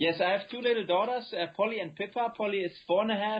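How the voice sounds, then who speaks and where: The voice carries a German accent and lively intonation. It moves at a very fast pace. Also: man. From Germany. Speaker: company founder and CEO. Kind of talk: interview. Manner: halting.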